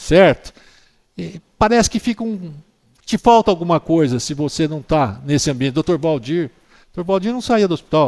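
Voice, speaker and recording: Using a fairly high pitch with very wide swings, a man talks at a moderate pace with long, frequent pauses, in a dry, close sound with no echo. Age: 60s. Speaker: orthopedic doctor. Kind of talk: interview.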